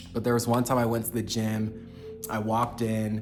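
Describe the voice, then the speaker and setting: There is audible room echo around this man's voice. He talks at a fairly quick pace with a medium pitch. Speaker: self-development vlogger. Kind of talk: casual monologue.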